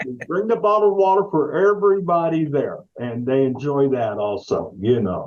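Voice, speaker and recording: A man talks at a fairly high pitch and a moderate pace. His pitch swings very widely, with hardly any pauses. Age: 70s. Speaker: investigator retiring from a law firm. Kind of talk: casual interview.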